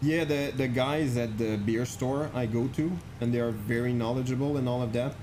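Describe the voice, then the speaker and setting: Speaking at a fairly slow pace with ordinary pitch variation, a man with a Quebec accent is heard over audible room echo. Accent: French Canadian accent in English. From Quebec, French Canadian. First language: French. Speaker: flight sim streamer. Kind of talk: live stream chat. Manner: casual, halting with many fillers.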